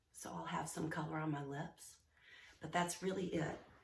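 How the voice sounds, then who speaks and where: Audible room echo surrounds the woman as she speaks. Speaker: life coach. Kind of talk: casual vlog talk. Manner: hesitant, many fillers.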